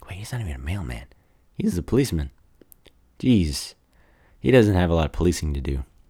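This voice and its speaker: A man speaks with a very deep, low pitch and a dark, mellow tone, somewhat breathy. His pitch swings very widely, and he takes long, frequent pauses. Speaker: podcast host. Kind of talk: casual movie review monologue. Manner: halting, many fillers.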